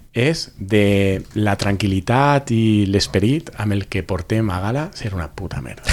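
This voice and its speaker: Noticeable background noise runs behind a man with fairly low pitch who speaks at a fairly slow pace with lively intonation and hardly any pauses. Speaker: podcast panelist. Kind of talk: casual chat.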